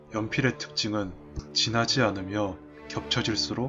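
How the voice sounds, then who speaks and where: Music plays in the background while a man with a fairly low pitch talks at a fairly slow pace. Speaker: digital artist / video creator. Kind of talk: speed-painting narration, explanatory talk with jokes. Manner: casual, self-deprecating, humorous.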